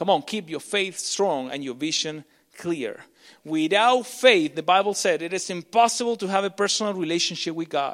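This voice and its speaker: A man's high-pitched, animated voice comes through on a very clean recording with a silent background. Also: ordinary pitch variation, moderate pace. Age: 30s. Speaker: pastor. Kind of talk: sermon.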